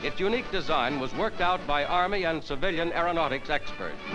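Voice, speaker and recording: Over music in the background, a man with a high voice speaks at a moderate pace with lively intonation. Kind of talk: newsreel narration.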